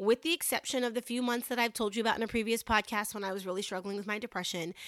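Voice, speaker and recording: Recorded very cleanly against a silent background, a woman's voice is bright and sharp in tone, fairly high in pitch, and dry and close with no echo. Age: 40s. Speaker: podcast host. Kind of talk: motivational monologue. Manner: casual, chatty.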